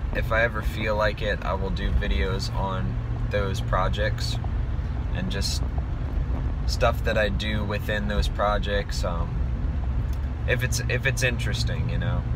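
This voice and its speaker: A man talks at a fairly slow pace with long, frequent pauses, in a dry sound with no echo over loud background noise. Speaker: musician vlogger. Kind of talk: casual vlog chat. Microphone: phone near.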